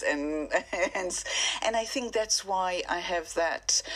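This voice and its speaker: Speaking with an Israeli accent, a woman talks at a fairly slow pace in a medium pitch with ordinary pitch variation. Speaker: singer-songwriter. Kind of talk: radio interview.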